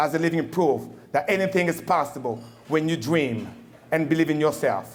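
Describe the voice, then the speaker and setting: Speaking at a moderate pace with a Congolese accent, a man with a fairly high pitch is heard amid audible room echo. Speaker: Marine veteran, keynote speaker. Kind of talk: formal speech. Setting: banquet hall with audience. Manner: animated.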